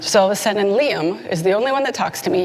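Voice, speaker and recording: A woman speaks at a fairly quick pace with lively intonation. Noticeable background noise is present. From Canada. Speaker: conference speaker, security consultant. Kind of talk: conference talk. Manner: animated.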